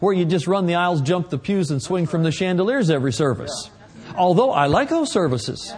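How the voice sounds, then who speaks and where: Someone with an American accent talks over noticeable background noise. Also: man. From Oklahoma. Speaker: visiting preacher. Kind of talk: sermon; prayer. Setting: church with congregation. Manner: animated.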